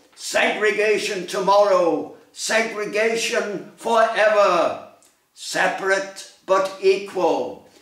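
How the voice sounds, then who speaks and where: A man speaks at a very slow pace in a high voice. The background is quiet, with audible room echo. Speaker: poet. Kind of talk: poetry reading. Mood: solemn, commemorative. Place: home room. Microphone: phone near.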